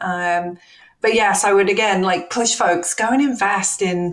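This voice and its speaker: A woman's ordinary speaking voice, medium in pitch, with ordinary pitch variation and a fairly slow pace. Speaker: tech company accessibility executive. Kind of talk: interview conversation.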